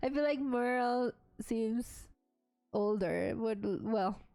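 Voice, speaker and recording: Fairly high in pitch, a woman speaks with a Mexican accent. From Mexico. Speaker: game streamer. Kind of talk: gameplay stream, reading game text aloud with commentary. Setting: live stream.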